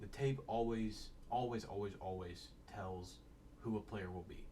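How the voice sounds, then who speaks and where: A somewhat breathy man talks at a fairly slow pace. Audible room echo surrounds his voice. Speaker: sports draft analyst. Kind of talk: casual solo commentary. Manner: halting.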